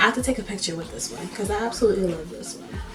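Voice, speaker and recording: A quiet woman's voice swings very widely in pitch, with audible room echo and music in the background. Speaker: makeup artist and painter vlogger. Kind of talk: casual vlog talk. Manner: talking quietly.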